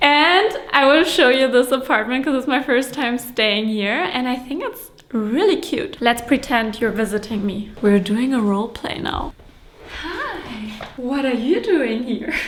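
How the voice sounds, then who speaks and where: Noticeable background noise surrounds a voice with lively intonation moving at a fairly slow pace. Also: woman, high pitch for a woman. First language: not English; English is third language. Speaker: vlogger, entrepreneur. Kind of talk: travel vlog, casual talk to camera. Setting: indoors in an apartment. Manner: animated, excited.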